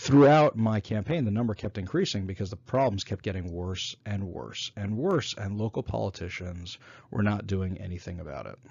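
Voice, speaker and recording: This man's somewhat breathy, fairly low voice carries lively intonation and an American accent. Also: moderate pace. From New York. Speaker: former city council candidate, business owner. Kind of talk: solo talk summarizing a presentation.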